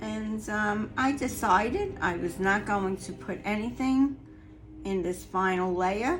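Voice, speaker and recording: A woman's very slow speech with audible room echo. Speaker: resin artist, craft youtuber. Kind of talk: craft tutorial.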